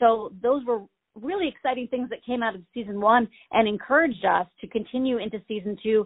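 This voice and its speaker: Using an ordinary speaking voice, a woman in an American accent talks at a fairly high pitch with ordinary pitch variation. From Maine, US. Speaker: theater director. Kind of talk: interview. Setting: phone call.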